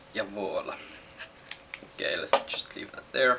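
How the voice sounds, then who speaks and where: The speaker has a Finnish accent and talks at a fairly slow pace. Noticeable background noise can be heard. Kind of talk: casual how-to demonstration.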